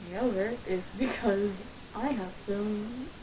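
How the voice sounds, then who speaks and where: A woman with an American accent speaks at a medium pitch with ordinary variation. Background noise is noticeable. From Ohio, USA. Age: 20s. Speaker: aspiring voice actor and video maker. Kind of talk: casual talk to camera.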